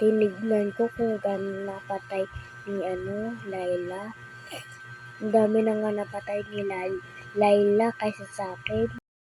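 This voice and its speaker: Over music in the background, a soft-spoken voice moves at a fairly slow pace with very wide pitch swings. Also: woman, medium pitch for a woman. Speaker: gaming commentator. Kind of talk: gameplay commentary.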